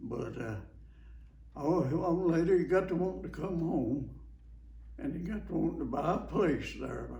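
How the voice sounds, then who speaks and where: A man talks fairly slowly with a rural Alabama accent. Room echo is audible. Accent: Southern US (Alabama) rural. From US South. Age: 90s. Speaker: war veteran. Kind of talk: oral history interview. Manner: halting, repetitive.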